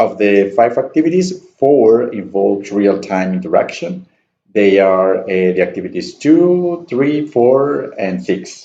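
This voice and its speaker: In a Spanish accent, a man speaks at a fairly slow pace with a dark, mellow tone. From Colombia, Santander (Piedecuesta). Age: 20s. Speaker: student and university staff member. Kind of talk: class self-introduction presentation. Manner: halting, with many fillers.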